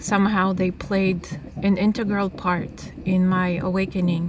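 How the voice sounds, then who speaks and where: Over noticeable background noise, a woman with a Russian accent talks at a fairly slow pace in a medium pitch, her intonation monotone and flat. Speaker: author, nomad. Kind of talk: reading aloud.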